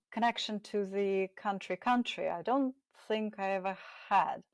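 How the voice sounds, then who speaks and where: A woman speaks with a Russian accent. The sound is dry and close with no echo, in a very clean recording with a silent background. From Russia, moved around: Germany, Central Asia, Siberia, Moscow. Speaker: success coach. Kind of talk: interview.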